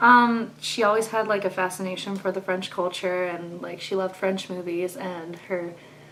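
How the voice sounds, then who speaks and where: With hardly any pauses, the voice keeps a fairly even intonation over noticeable background noise. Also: woman, medium pitch for a woman, moderate pace. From southwest France. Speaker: student and singer. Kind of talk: interview. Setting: recorded interview.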